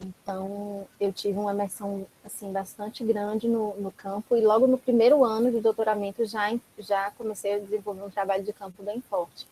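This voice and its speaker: A woman speaks at a moderate pace in a dark, mellow tone, with monotone, flat intonation and hardly any pauses. The sound is dry and close, with no echo. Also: medium pitch for a woman. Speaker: academic researcher, recent PhD. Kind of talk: academic talk in online seminar.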